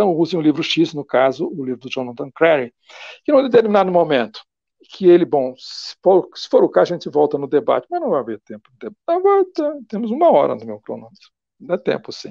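A man with a high pitch and a dark, mellow tone talks at a fairly quick pace, his pitch swinging very widely and his loudness rising and falling sharply, in a dry sound with no echo against a quiet background. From Brazil. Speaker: philosophy professor; guest intellectual lecturer. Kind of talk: lecture. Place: home room. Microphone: earbuds.

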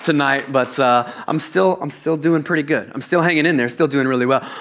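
A man is speaking at a fairly quick pace. His intonation is fairly even. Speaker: preacher. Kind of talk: sermon. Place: church. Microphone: headset.

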